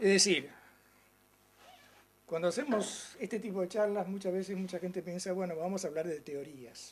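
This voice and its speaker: At a moderate pace, a man with a high voice speaks with ordinary pitch variation and long, frequent pauses. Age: 60s. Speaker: political analyst and lecturer. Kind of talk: lecture. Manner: informal, conversational.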